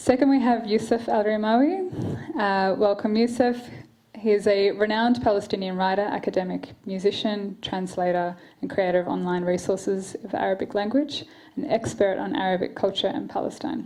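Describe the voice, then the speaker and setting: A woman with an Australian accent speaks at a moderate pace, her medium-pitched voice dark and mellow, with ordinary rise and fall in pitch. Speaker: event moderator, human rights lawyer. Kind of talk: panel moderation. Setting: stage with audience. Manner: quiet, may trail off.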